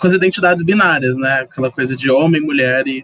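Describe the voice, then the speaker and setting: The speech moves at a moderate pace with fairly even intonation, recorded with a dry, close sound with no echo. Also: man. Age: 20s. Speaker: guest. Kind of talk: casual chat.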